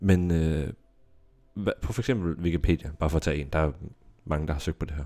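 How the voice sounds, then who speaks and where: A man's very deep, low voice with a dark, mellow tone, fairly quick pace, ordinary pitch variation and long, frequent pauses. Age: 30s. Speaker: podcast co-host. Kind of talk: casual chat. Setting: studio.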